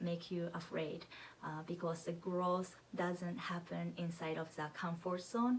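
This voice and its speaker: A woman with a strong Japanese accent at fairly low pitch, amid noticeable background noise. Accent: heavy Japanese. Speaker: knitting podcaster. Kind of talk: casual vlog monologue.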